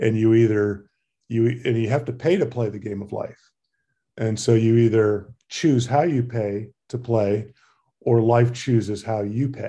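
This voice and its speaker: Against a quiet background, a man with a medium-pitched, somewhat breathy voice and a dark, mellow tone speaks at a fairly slow pace with fairly even intonation. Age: 50s. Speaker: emergency physician and cyclist. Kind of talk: casual interview.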